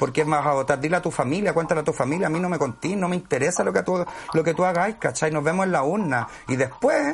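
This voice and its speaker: Over noticeable background noise, a man speaks very fast at a fairly high pitch, his pitch varying in an ordinary way. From Chile, Santiago (Conchalí). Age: 40s. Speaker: actor. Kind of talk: casual chat.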